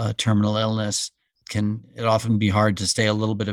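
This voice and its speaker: Recorded very cleanly against a silent background, with a dry, close sound and no echo, a man with an ordinary speaking voice talks at a fairly quick pace and a fairly low pitch. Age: 60s. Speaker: physician. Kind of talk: interview.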